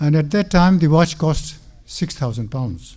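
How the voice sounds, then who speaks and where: A man with a fairly high pitch speaks in a dark, mellow tone that is somewhat breathy, with ordinary pitch variation. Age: 70s. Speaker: mosque speaker. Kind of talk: religious talk.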